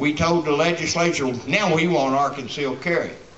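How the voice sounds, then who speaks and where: A man is shouting. The recording has audible room echo and light background noise. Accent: Kentucky. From Kentucky. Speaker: rally speaker, gun rights activist. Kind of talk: rally speech. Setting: outdoor rally with crowd. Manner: fiery, defiant, blunt, plainspoken; rambling, conversational, shouting to a crowd. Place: street. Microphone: camera far.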